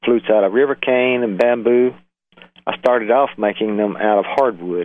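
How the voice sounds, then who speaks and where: Medium in pitch, a man with a Southern US accent talks with fairly even intonation. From US South, Alabama. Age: 70s. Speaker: flute maker, retired engineer. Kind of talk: interview. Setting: phone call.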